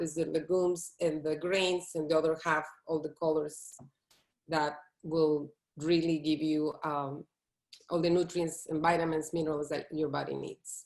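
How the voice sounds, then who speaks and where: Woman with a Latin American accent, fairly low pitch, moderate pace and monotone, flat intonation. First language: Spanish. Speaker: plant-based chef. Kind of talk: interview.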